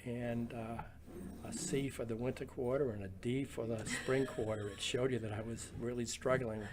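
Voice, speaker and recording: Over noticeable background noise, a man speaks at medium pitch and a moderate pace with fairly even intonation. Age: 70s. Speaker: retired printing business owner. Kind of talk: oral history interview. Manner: halting, many fillers.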